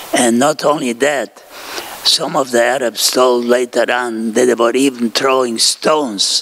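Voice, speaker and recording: Over noticeable background noise, a man speaks at a medium pitch and a fairly slow pace with fairly even intonation. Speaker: Holocaust survivor and war veteran. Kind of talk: talk to students.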